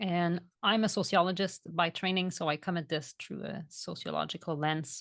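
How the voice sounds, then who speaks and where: A woman speaks in a Quebec accent at a fairly slow pace, her pitch fairly low. The sound is dry and close with no echo, over a quiet background. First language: French. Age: 40s. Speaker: vegan food educator and author. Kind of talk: podcast interview.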